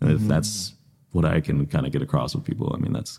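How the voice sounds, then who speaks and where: This man has a Midwestern US accent, a dark, mellow tone and vocal fry. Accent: US Midwest. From Iowa, Des Moines east side. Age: 20s. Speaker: podcaster and small business marketer. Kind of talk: casual interview chat.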